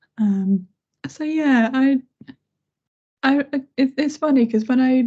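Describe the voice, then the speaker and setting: Quietly, a woman speaks in a dark, mellow, somewhat breathy voice with ordinary pitch variation. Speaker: head of accessibility. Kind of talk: casual chat.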